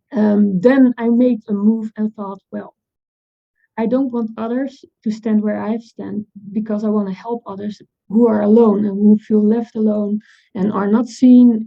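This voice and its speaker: With a Dutch accent, a woman talks at a fairly high pitch in a monotone, flat intonation. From Netherlands. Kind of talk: panel talk. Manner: halting.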